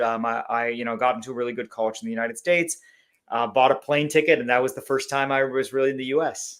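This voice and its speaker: A man's very fast speech at a medium pitch, with ordinary pitch variation and a slight Canadian accent. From Canada (Langley, British Columbia). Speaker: company CEO. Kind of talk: podcast interview.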